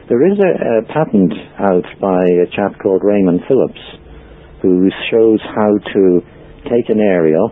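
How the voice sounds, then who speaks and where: Over noticeable background noise, a man with an Irish accent speaks at a fairly low pitch and a fairly slow pace, with ordinary pitch variation, very even loudness and long, frequent pauses. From Ireland. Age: 60s. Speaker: free energy researcher and author. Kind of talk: interview. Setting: podcast interview. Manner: hesitant, frequent ums.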